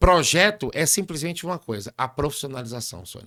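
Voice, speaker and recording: In a very clean recording with a silent background, a man speaks at a fairly quick pace with a fairly high pitch, very wide pitch swings, a bright, sharp tone and vocal fry. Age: 50s. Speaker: barbershop business mentor. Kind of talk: interview conversation.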